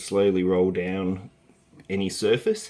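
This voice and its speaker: A man's fairly low voice with an Australian accent. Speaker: early years educator. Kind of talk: tutorial. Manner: halting, with fillers.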